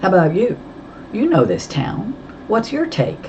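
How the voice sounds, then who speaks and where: A put-on, robotic character voice at a moderate pace, with very wide pitch swings and clear background noise. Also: man, high pitch for a man. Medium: read story. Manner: terse, cool.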